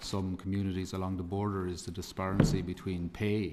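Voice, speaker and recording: A man's very deep, low voice in an Irish accent, monotone and flat, at a fairly quick pace. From Republic of Ireland. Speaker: campaigner and parent giving evidence. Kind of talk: committee evidence testimony. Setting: parliamentary committee hearing. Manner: halting, many repetitions.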